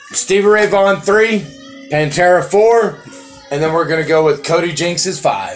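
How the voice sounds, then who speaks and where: Music plays in the background as a man with a high pitch speaks. His pace is moderate and his pitch varies in an ordinary way. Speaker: podcast host. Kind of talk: casual podcast banter.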